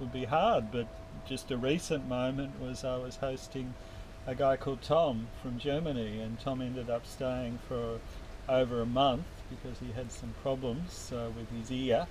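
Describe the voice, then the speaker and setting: A man with an Australian accent speaks at a moderate pace and a medium pitch, his intonation fairly even, with audible echo in the room. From Australia (Melbourne). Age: 50s. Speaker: university tutor. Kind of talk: interview. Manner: hesitant, many fillers.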